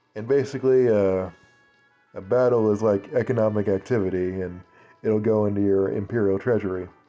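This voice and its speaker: With music playing in the background, a man talks in a fairly even intonation. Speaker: let's play gamer. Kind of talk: casual gameplay commentary.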